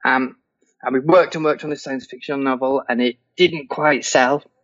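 A man talks at a fairly quick pace in an English accent. His intonation stays fairly even. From England. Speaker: fantasy novelist. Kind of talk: interview.

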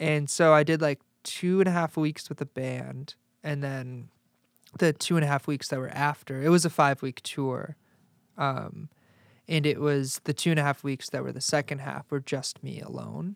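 Speaking in an ordinary speaking voice with an American accent, a man talks at a fairly high pitch and a moderate pace. The recording is very clean, with a silent background and a dry, close sound with no echo. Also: fairly even intonation. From Chicago suburbs, Illinois. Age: 20s. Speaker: musician and sports reporter. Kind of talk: casual chat.

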